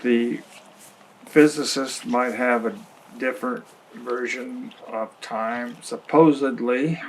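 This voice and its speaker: Noticeable background noise sits under a man speaking at a medium pitch with ordinary pitch variation. His pace is very slow, broken by long, frequent pauses. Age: 80s+. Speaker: retired grandfather, documentary subject. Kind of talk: reflective interview monologue. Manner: halting.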